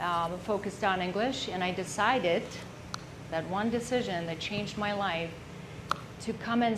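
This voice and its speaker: Her intonation stays fairly even. The room echo can be heard. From Czech Republic. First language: Czech. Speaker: entrepreneur. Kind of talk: business presentation.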